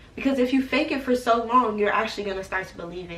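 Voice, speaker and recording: There is noticeable background noise behind this woman. Her pitch is fairly high, with ordinary variation. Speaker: YouTuber giving college advice. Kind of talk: casual vlog talk to camera. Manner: casual, hesitant with repetitions.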